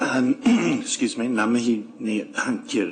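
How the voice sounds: Hoarse and raspy, a man puts on a character voice with a high pitch, very wide pitch swings, and a very slow pace.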